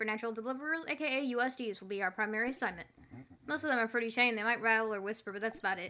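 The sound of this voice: The speaker reads in an unforced reading voice.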